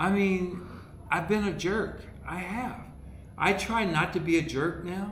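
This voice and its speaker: Over noticeable background noise and audible room echo, a high-pitched man speaks at a fairly slow pace with fairly even intonation and long, frequent pauses. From US Midwest (Dayton, Ohio). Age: 60s. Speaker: comedian. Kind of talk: casual chat.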